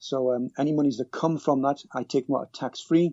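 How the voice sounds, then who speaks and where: A man with a British accent talks at a very fast pace. His pitch is medium, with ordinary variation. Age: 50s. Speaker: cab driver and personal finance blogger. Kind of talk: podcast interview. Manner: halting, with many repetitions.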